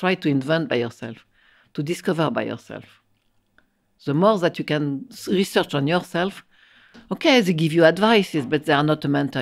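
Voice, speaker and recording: A woman with a French accent speaks at a fairly quick pace in a very deep, low pitch, leaving long, frequent pauses. The recording is very clean, with a silent background. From France. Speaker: architect and professor. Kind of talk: interview conversation. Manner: halting, repeating words.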